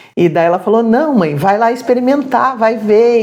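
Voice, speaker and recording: Despite noticeable background noise, a woman with a fairly high pitch speaks at a moderate pace with lively intonation. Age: 60s. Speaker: retired social worker, jiu-jitsu practitioner. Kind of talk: interview.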